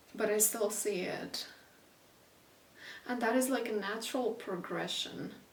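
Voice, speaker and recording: A woman speaks at a fairly high pitch with fairly even intonation and long, frequent pauses. Audible room echo and noticeable background noise surround her voice. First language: not English. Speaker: intuitive painter and channeler. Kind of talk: casual spoken energy reading while painting. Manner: halting, many fillers; unhurried, with intentional silences.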